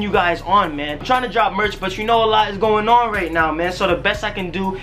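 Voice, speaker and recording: The speech moves at a very fast pace with ordinary pitch variation. Faint music plays in the background. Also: man. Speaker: vlogger doing a sponsor shoutout. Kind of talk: casual vlog chat. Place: home room. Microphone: camera far.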